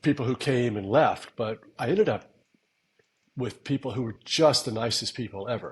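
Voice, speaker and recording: Breathiness is somewhat present in this voice. Its pace is moderate. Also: man, medium pitch for a man, ordinary pitch variation. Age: 60s. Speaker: podcast co-host, veteran trader. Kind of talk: casual chat.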